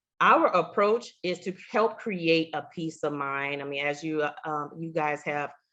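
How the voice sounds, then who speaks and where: With little sound behind her, a woman talks in a very deep, low pitch. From Louisiana. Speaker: insurance agent, Air Force veteran. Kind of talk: webinar presentation.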